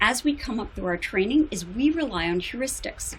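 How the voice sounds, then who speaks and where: A somewhat breathy woman's voice with an American accent, fairly high-pitched, with very wide pitch swings, a moderate pace and audible room echo. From United States. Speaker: psychologist. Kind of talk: conference talk. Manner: formal.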